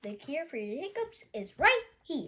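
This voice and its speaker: A woman uses a put-on character voice at an extremely high pitch, raised and projected. Her pitch swings very wide at a moderate pace. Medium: read story.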